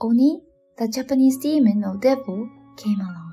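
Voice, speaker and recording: Lively intonation and a moderate pace come through over music in the background. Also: woman. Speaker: bedtime storyteller. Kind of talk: English narration of folktale. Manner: soft-spoken.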